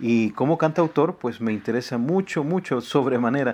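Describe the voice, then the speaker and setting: In a Salvadoran accent, a man talks at a moderate pace with a medium pitch and ordinary pitch variation. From El Salvador. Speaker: radio host and singer-songwriter. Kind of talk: radio interview.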